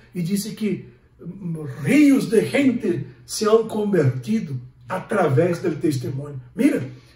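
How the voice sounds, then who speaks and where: With audible room echo, a high-pitched man speaks at a very slow pace, his pitch swinging very widely. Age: 60s. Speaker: pastor. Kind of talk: sermon.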